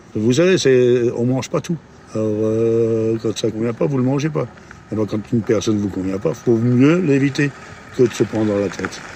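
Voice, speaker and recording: A man speaks at a moderate pace and medium pitch with ordinary pitch variation. Noticeable background noise is present. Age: 70s. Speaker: passer-by interviewed in the street. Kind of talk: casual street interview. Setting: outdoors in a city square. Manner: animated, opinionated.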